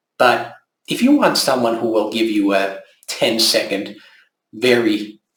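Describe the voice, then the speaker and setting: A man's medium-pitched voice, fairly slow and fairly even in intonation, with audible room echo. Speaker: local election candidate. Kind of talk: campaign video monologue. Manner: calm, gentle.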